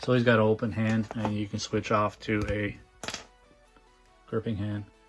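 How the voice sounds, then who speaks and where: Monotone, flat delivery at a moderate pace with music in the background. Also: man, fairly low pitch for a man. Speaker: toy reviewer. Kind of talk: unboxing review. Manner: casual, hesitant with fillers.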